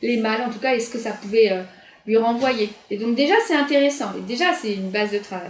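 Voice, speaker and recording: Through audible room echo, a woman speaks at a fairly high pitch and a moderate pace with ordinary pitch variation. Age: 40s. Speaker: nurse and equine therapist. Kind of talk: interview.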